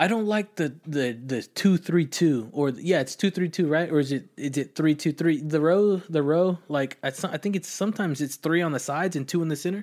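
A man with an American accent and a plain, everyday voice talks at a fairly quick pace with hardly any pauses, his fairly high pitch moving with ordinary variation over a very clean recording with a silent background. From Austin, Texas. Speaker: podcast host. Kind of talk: casual chat; podcast outro.

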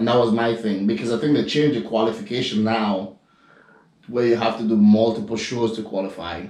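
A man with a Grenadian accent at a fairly quick pace, with fairly even intonation. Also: medium pitch for a man. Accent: Grenadian Caribbean, noticeable. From Grenada, Caribbean. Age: 30s. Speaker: professional bodybuilder. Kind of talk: casual chat.

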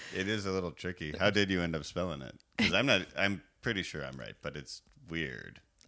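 A man talks at a fairly quick pace with a very deep, low pitch, vocal fry and a bright, sharp tone. His intonation is lively and his loudness swings widely. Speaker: podcast host. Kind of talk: casual chat.

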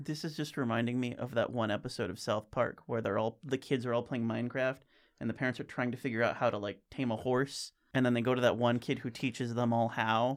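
Very rapid male speech, its intonation fairly even. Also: medium pitch for a man, very clean recording, silent background. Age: 20s. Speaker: podcast co-host. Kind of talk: casual chat.

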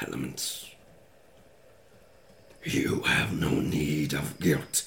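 A man's raspy, put-on character voice. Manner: persuasive, ominous.

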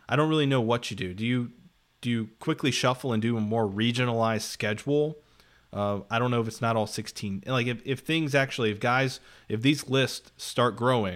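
A man's normal speaking voice at a medium pitch with ordinary variation, at a fairly quick pace, in a very clean recording with a silent background. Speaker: sports podcast host. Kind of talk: casual sports talk.

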